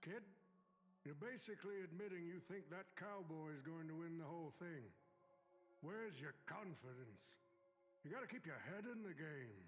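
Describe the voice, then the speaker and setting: A man's high put-on character voice with lively intonation and very even loudness, at a moderate pace broken by long, frequent pauses, over clear background noise. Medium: video game. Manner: chuckling, warm but calculating.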